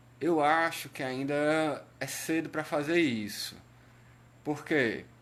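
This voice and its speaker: Very slowly, a man speaks at a fairly high pitch with ordinary pitch variation. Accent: Cearense. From Brazil, Ceará. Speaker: patient advocate / health live streamer. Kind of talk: live stream talk. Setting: Facebook live stream. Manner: hesitant, many fillers.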